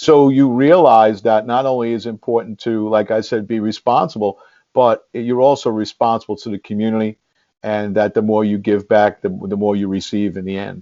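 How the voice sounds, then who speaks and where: At a moderate pace, a man speaks with a New York accent. His pitch is fairly low and his intonation fairly even. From New York City, the Bronx. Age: 60s. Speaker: congressional candidate and former police officer, teacher. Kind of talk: interview. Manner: halting, many repetitions.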